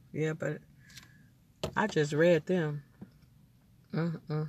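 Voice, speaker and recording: This woman talks at a very slow pace. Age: 50s. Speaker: podcaster. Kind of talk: casual monologue.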